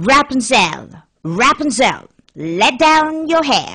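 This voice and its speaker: Very slow delivery in a put-on character voice. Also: female-sounding voice. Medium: read story. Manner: harsh, screeching.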